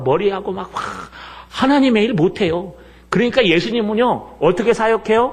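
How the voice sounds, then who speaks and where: A man speaks in an animated tone with lively intonation. There is noticeable background noise. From Seoul, South Korea. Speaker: pastor. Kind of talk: sermon.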